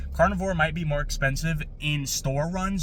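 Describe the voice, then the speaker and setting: With an American accent, the speaker talks at a fairly quick pace and with fairly even intonation, against noticeable background noise and audible room echo. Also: man. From New York. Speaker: diet vlogger. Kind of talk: casual vlog. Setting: at home at night. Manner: hesitant, many fillers; soft-spoken.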